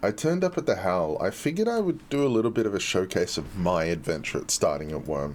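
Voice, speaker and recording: At a moderate pace, a man speaks with an Australian accent. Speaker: game community streamer. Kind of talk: live stream chat and gameplay showcase.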